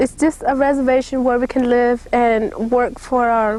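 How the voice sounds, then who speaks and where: Her voice high in pitch, a woman with an Oklahoma accent speaks at a moderate pace in a flat monotone. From Kickapoo community, Mexico and US. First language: Kickapoo. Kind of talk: interview testimony.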